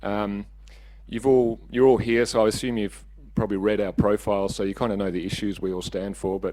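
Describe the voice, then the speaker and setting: In an Australian accent, a dark, mellow voice talks at a very fast pace. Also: man. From Western Australia, Margaret River region. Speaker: council candidate. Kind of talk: candidate speech.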